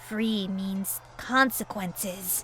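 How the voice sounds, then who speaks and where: Over clear background noise, a female-sounding voice performs a put-on character voice at a medium pitch. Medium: read story. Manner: slow, solemn, deliberate.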